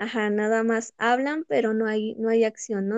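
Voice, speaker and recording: An unremarkable speaking voice from a woman, fairly high in pitch, with fairly even intonation at a fairly slow pace. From Mexico, Pachuca, Hidalgo. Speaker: law student. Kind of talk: casual chat.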